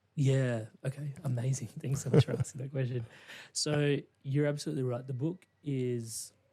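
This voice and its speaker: A man with an Australian accent speaks at a medium pitch and a moderate pace. His tone is dark and mellow, and somewhat breathy. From Australia, Indian immigrant family. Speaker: life coach and podcast host. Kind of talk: interview conversation. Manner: measured; animated.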